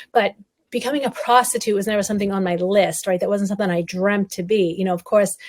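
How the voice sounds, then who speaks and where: In a New England accent, a woman talks at a very fast pace. Her intonation is fairly even. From Massachusetts, North Shore. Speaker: survivor advocate and speaker. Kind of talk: interview testimony.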